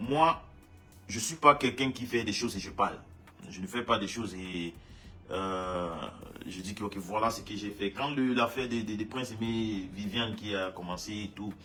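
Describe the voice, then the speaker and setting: Amid noticeable background noise, a man speaks at a moderate pace with ordinary pitch variation and long, frequent pauses. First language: English (speaking French). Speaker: musician. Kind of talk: casual monologue statement. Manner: halting, many repetitions.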